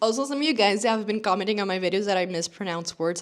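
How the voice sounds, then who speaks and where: She speaks with a non-native accent. The woman's pitch variation is ordinary. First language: not English. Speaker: fashion youtuber. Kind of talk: casual vlog talk to camera. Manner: chatty, informal.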